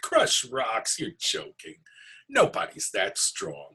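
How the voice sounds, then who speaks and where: Speaking very slowly, the speaker puts on a character voice. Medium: read story.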